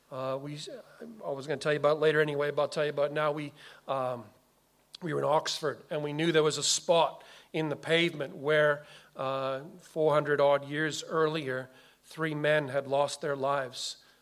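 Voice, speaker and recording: A man at a moderate pace, fairly high in pitch, with monotone, flat intonation. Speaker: pastor. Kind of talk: sermon. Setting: church.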